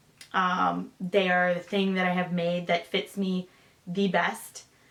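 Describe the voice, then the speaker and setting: Noticeable background noise sits behind a woman speaking at a medium pitch with an American accent. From Michigan. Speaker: sewing vlogger and fighter jet mechanic. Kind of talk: casual Q&A vlog.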